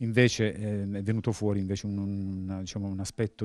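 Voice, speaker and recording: A man with a fairly low pitch and a dark, mellow tone speaks at a moderate pace in a flat monotone. The sound is dry with no echo over a quiet background. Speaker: police officer and author. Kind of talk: interview. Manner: halting. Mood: calm, serious. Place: shop. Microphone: handheld.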